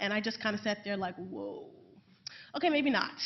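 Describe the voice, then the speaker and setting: A woman with a New York accent speaks at a fairly high pitch. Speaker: assistant professor of public health. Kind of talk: panel talk. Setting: panel event with audience. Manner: fast; loud.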